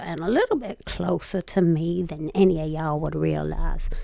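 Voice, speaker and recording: With a Southern US accent, a woman speaks at a moderate pace over noticeable background noise. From US South. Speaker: YouTube reaction commentator. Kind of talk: casual reaction commentary.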